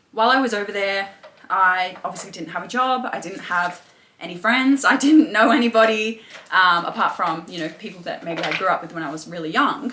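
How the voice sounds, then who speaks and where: Against noticeable background noise, a woman with an Australian accent talks at a fairly quick pace and medium pitch, her intonation lively. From England, then Australia. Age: 20s. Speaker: personal trainer and mindset coach. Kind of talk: interview testimony. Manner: hesitant, many fillers.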